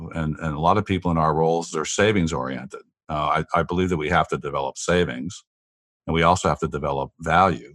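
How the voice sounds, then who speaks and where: A man speaks very fast in a very deep, low voice with vocal fry. The recording is very clean and dry, close with no echo and a silent background. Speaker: business executive. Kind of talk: interview. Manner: halting.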